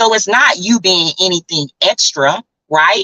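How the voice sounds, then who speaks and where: A woman speaks at a medium pitch in an animated tone. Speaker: travel community founder and livestream host. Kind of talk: live stream talk to viewers. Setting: live video stream. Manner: loud.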